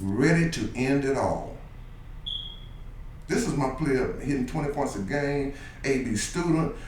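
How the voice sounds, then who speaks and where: With an American accent, a man speaks at a fairly slow pace with fairly high pitch, ordinary pitch variation and long, frequent pauses, amid noticeable background noise and audible room echo. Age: 60s. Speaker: youth basketball coach. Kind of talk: radio interview. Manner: animated.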